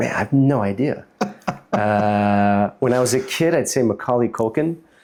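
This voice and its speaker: A man with an American accent speaks at a medium pitch and very even loudness. There is noticeable background noise. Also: ordinary pitch variation, moderate pace. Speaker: startup founder and CEO. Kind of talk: casual interview. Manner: hesitant, many fillers.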